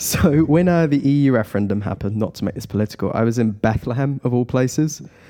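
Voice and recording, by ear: Noticeable background noise accompanies speech that goes at a fairly quick pace. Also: man.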